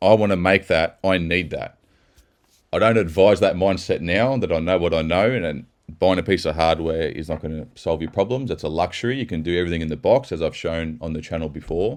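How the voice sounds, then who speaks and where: A man with an Australian accent speaks at a fairly quick pace in an animated tone. His pitch is very deep and low. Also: ordinary pitch variation. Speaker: techno producer and mastering engineer. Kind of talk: casual video commentary. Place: studio.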